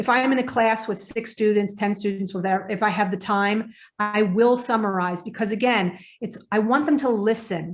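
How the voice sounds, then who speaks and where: A woman with a plain, everyday voice speaks at a moderate pace and a fairly high pitch, with fairly even intonation. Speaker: ESL teacher and workshop presenter. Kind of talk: workshop Q&A. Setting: video call.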